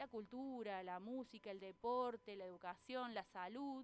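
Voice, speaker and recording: Her pitch fairly high, a woman speaks with a slight Cordoba accent. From Argentina, Córdoba city. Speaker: columnist, doctoral student in education. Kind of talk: radio interview. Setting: radio studio.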